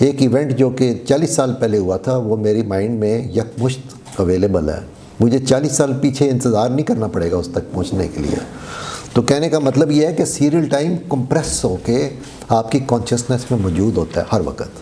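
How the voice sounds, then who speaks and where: Over noticeable background noise and audible room echo, a man speaks at a moderate pace and medium pitch with lively intonation. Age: 60s. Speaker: lecturer. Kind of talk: lecture. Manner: code-switching Urdu and English.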